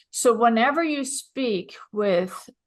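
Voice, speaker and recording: A woman speaks with a Swedish accent and lively intonation. The background is quiet. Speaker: business consultant. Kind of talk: interview.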